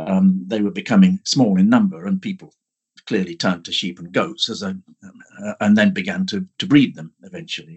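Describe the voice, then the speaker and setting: With an English accent, a man talks at a fairly quick pace, his loudness swinging widely. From central England. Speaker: archaeology professor. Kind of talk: interview. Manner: halting.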